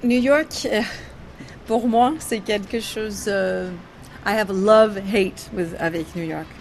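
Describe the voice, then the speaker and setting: Speaking at a very slow pace, a woman leaves long, frequent pauses, her pitch varying in an ordinary way. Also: medium pitch for a woman. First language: English (speaking French). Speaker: jazz singer. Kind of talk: interview. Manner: halting, with many hesitations.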